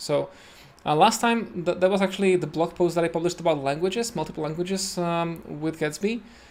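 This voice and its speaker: A man with a Czech accent at a moderate pace, with ordinary pitch variation. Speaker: web developer streamer. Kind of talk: live coding tutorial. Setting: home. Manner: hesitant, many fillers.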